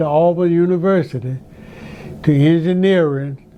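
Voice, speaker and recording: In an Alabama accent, a man with a fairly high pitch talks at a moderate pace in a monotone, flat intonation. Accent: Southern US (Alabama). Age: 90s. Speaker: retired teacher and basketball coach. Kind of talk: interview.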